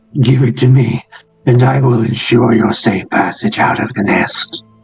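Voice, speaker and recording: Faint music sits behind a man doing a put-on character voice. His pitch is medium and his pace moderate. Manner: threatening.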